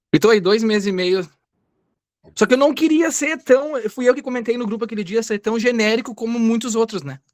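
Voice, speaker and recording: A man speaks at a fairly quick pace in an extremely high pitch, with ordinary pitch variation. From Rio Grande do Sul, Brazil. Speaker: beginner content creator. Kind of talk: self-introduction.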